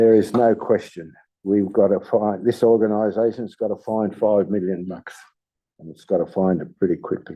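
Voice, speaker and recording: With an Australian accent, the speaker goes at a moderate pace with big swings in loudness. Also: man, fairly low pitch for a man. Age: 80s+. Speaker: local councillor. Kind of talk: farewell speech at council meeting. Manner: halting.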